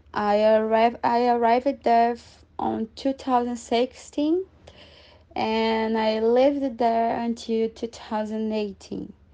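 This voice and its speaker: Very slowly, a woman speaks in a dark, mellow tone against a quiet background. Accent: Portuguese. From Brazil. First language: Portuguese. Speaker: former exchange student. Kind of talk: casual interview.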